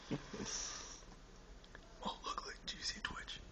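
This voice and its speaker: Whispering over noticeable background noise. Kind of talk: casual conversation, amateur comedy video. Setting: indoors at night, roommate sleeping in next room. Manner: whispered.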